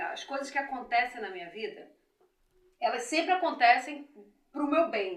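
Her pace moderate, a woman speaks at a high pitch with very wide pitch swings, big swings in loudness, and long, frequent pauses. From Rio de Janeiro state, Brazil (Belford Roxo). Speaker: businesswoman, beauty school owner. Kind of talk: interview, life story.

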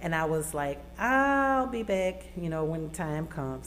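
A woman in an Arkansas accent speaks at a fairly slow pace with audible room echo. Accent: Southern US (Arkansas). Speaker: college student. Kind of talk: radio interview. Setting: radio studio.

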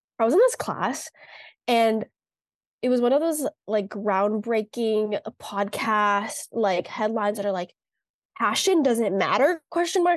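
Against a quiet background, a woman with a normal speaking voice talks at a moderate pace, her fairly high pitch carried by lively intonation. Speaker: podcast co-host, college student. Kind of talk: casual chat.

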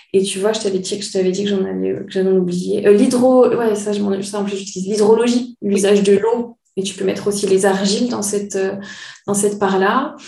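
Audible room echo around fairly even intonation at a moderate pace. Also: woman. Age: 30s. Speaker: naturopath. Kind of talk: casual chat.

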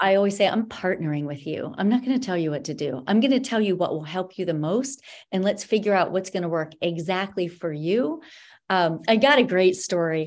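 A plain, everyday voice from a woman, medium in pitch, with lively intonation and a fairly quick pace. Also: very clean recording, silent background. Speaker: dietitian and wellness coach. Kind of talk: casual interview chat.

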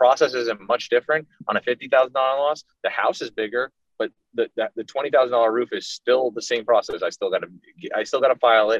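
With an American accent, a man speaks at a moderate pace. The sound is dry and close, with no echo. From South Florida. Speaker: public adjuster, company co-founder. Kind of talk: casual interview.

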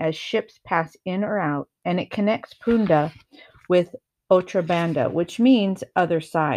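The background is quiet as a natural voice reads aloud with ordinary pitch variation.

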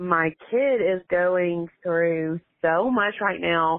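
In a Southern US accent, a woman speaks at a fairly low pitch. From Alabama. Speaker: caller. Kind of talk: voicemail message.

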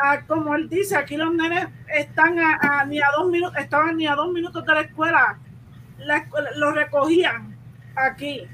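Her voice raised and projected, a woman speaks at a high pitch. Her pace is moderate, her intonation fairly even. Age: 30s. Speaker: parent. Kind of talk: casual chat.

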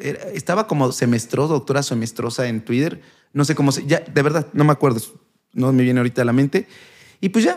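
With a fairly high pitch and lively intonation, a man talks at a very fast pace. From Mexico, Puebla. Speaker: doctor and youtuber. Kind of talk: casual chat.

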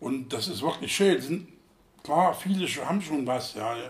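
Speaking at a fairly slow pace, a man sounds somewhat breathy, with lively intonation. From Thuringia, East Germany. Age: 60s. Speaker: football fan veteran. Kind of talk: interview.

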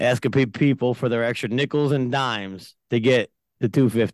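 A man in an American accent uses an ordinary speaking voice at medium pitch and moderate pace, with fairly even intonation, the sound dry and close with no echo over a quiet background. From New York (Yonkers). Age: 40s. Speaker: business owner. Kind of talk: casual chat.

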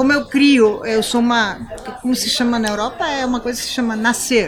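Noticeable background noise behind a woman's high-pitched voice with ordinary pitch variation. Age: 50s. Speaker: horse breeder and veterinarian. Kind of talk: casual interview. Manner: animated.

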